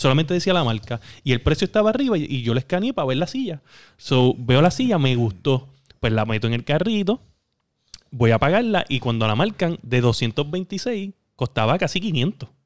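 The sound is dry and close with no echo as the speaker, in a Puerto Rican accent, keeps a moderate pace while the pitch swings very widely. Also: man, fairly high pitch for a man. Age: 30s. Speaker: gaming podcast co-host. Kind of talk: casual chat.

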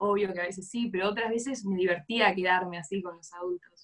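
With fairly even intonation, a woman races along at a very fast pace. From Argentina. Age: 20s. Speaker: economics graduate. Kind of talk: interview conversation.

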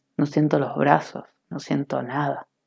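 A woman talking at a fairly slow pace. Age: 30s. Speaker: online radio host, personal growth. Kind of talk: solo radio monologue, spiritual self-help. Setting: home online radio stream. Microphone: internet connection kept cutting out.

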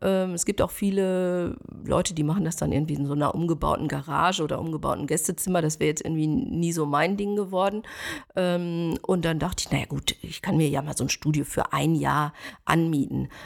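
This woman has an ordinary speaking voice, pitched fairly low, and she talks at a fairly quick pace with ordinary pitch variation. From Ruhr area, Germany (Schwerte). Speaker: stylist and image consultant. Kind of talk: interview.

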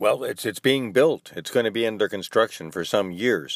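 A man's medium-pitched voice with lively intonation, in a dry, close sound with no echo. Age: 60s. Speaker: kung fu teacher and podcast host. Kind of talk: solo podcast lecture. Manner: halting.

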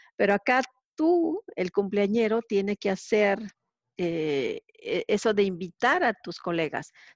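A woman talks at a very slow pace. Her pitch moves in very wide swings. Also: medium pitch for a woman. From Mexico. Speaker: telecom engineer living abroad. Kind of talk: interview.

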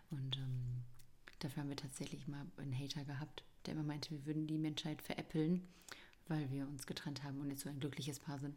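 Monotone, flat intonation runs through speech delivered at a fairly quick pace. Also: woman, very deep, low pitch for a woman. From Bavaria, Germany. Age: 20s. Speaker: podcast co-host, mother. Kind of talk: casual chat.

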